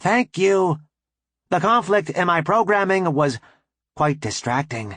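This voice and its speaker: Against a quiet background, a man puts on a character voice, pitched high and delivered at a fairly slow pace. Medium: read story. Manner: formal, polite.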